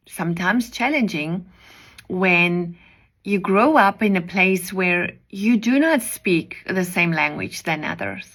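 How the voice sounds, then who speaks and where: Speaking at a very slow pace, a woman with medium pitch talks in a South African accent. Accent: Afrikaans-accented English. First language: Afrikaans. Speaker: preacher. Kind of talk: devotional message.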